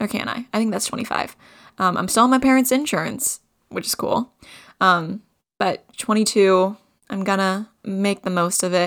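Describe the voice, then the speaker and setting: A woman speaks in an ordinary speaking voice. Her pitch varies in an ordinary way. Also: medium pitch for a woman, moderate pace, very clean recording, silent background. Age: 20s. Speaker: podcast co-host. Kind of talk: solo casual monologue.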